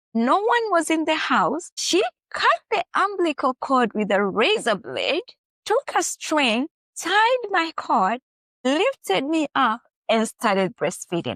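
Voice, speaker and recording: A woman's high-pitched voice with an East African accent, very slow, with very wide pitch swings and a dry, close sound with no echo. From Kenya. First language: Swahili. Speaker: author. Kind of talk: interview.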